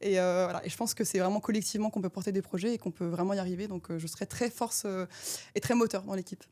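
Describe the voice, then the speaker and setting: A woman's voice with ordinary pitch variation. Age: 20s. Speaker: defense and space consultant. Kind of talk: mock job interview. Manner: fast; animated.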